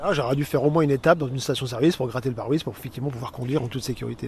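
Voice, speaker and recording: A man with a medium-pitched voice and ordinary pitch variation speaks as noticeable background noise plays. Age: 50s. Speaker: naturalist. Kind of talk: casual interview.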